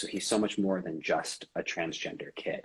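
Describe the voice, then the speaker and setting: Here is a man in a normal speaking voice, fairly low in pitch. He keeps a moderate pace with ordinary pitch variation. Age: 20s. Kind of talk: interview.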